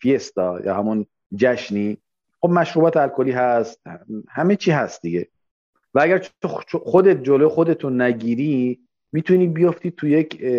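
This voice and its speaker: The sound is dry and close with no echo as a man with a fairly high pitch makes very wide pitch swings and takes long, frequent pauses. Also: moderate pace. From Iran, Khuzestan. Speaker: immigrant pastry chef. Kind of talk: casual interview.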